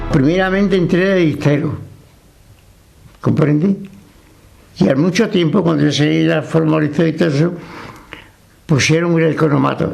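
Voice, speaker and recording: With audible room echo and noticeable background noise, a man speaks at a fairly high pitch and a moderate pace, his intonation fairly even and his loudness very even, with long, frequent pauses. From Extremadura, Spain. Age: 80s+. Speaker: retired factory worker. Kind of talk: interview testimony. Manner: halting.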